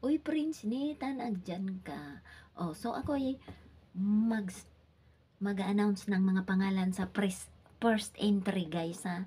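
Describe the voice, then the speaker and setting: A soft-spoken woman talks very slowly with lively intonation. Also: medium pitch for a woman. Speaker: livestreamer. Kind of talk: live stream chat, giveaway announcement. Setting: live stream at home. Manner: soft-spoken, lowered voice.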